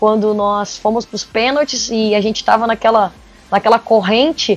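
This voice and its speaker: A woman speaks at a fairly quick pace. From Porto Alegre, southern Brazil. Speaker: football coach. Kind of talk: podcast interview. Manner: halting, frequent repetitions.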